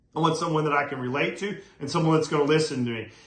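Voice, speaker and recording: The pitch varies in an ordinary way. Background noise is noticeable, and the room echo is audible. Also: man. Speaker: real estate coach. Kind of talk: motivational talk to camera. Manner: fast when excited; energetic.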